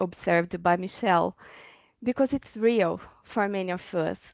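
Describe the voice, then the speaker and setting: A woman speaks with a Portuguese accent at a moderate pace. Her pitch is medium, with ordinary variation. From Brazil. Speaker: doctoral researcher. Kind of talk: webinar panel talk.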